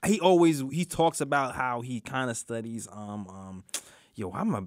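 A man with a New York accent speaks at a medium pitch, the sound dry with no echo. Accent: New York (Brooklyn) English. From Brooklyn, New York. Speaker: sports podcast co-host. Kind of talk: casual sports talk show. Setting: studio. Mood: relaxed, thoughtful. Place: studio. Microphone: studio mic.

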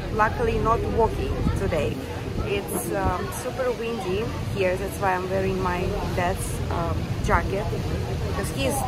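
Through loud background noise, a woman talks at a fairly slow pace. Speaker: travel vlogger. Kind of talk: casual vlog chat. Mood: relaxed, cheerful. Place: boat. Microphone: phone near.

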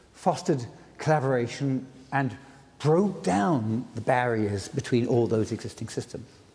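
The voice is dark and mellow, somewhat breathy. It moves at a moderate pace. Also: man. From Britain. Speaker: inventor of the World Wide Web giving a lecture. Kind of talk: public lecture. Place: stage. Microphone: lapel.

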